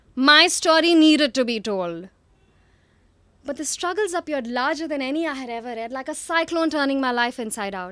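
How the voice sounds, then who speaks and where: On a very clean recording with a silent background, a woman projects a raised, bright, sharp voice at a high pitch with lively intonation. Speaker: psychologist, storyteller and spoken word poet. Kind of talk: spoken word poetry performance.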